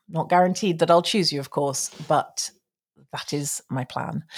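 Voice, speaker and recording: On a very clean recording with a silent background, a woman with a British accent speaks at a fairly slow pace with a fairly low pitch. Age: 40s. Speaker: tarot reader. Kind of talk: casual monologue. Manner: animated.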